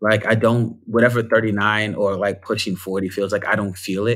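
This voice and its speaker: In a very clean recording with a silent background, a man with a fairly low pitch speaks at a moderate pace in a monotone, flat intonation. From New York (Bronx). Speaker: performer and storyteller. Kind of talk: casual chat.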